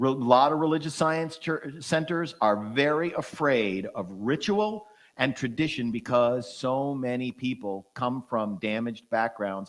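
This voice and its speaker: In a very clean recording with a silent background, a man with a medium-pitched voice speaks in an animated tone and lively intonation at a fairly slow pace, with hardly any pauses. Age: 60s. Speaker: minister and musician. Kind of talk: casual chat.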